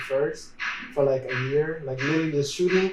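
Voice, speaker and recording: A man with a fairly high pitch talks at a very fast pace. Noticeable background noise and audible room echo fill the recording. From Dominican Republic. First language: Spanish. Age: 20s. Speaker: videographer and photographer. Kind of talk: casual interview.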